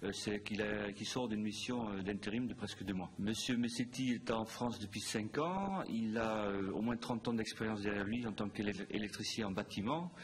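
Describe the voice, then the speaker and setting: A man with a fairly low pitch and a somewhat breathy voice talks at a moderate pace. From Netherlands. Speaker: hotel group operations director. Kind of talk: interview. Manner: hesitant, many fillers.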